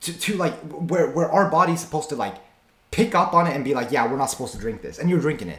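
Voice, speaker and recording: A man's high-pitched voice with audible room echo. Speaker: streamer reacting to videos. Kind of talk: reaction commentary. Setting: streaming with face cam. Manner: stammering at times; casual, slangy.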